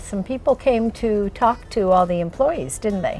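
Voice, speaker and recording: A woman talks at a fairly slow pace. Behind her, music can be heard. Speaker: interviewer. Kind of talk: interview question.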